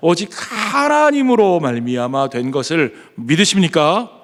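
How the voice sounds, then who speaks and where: The man's speech moves at a fairly slow pace. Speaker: pastor. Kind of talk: sermon. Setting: church.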